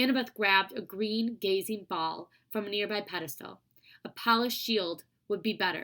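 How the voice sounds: A natural reading voice with fairly even intonation comes over a quiet background.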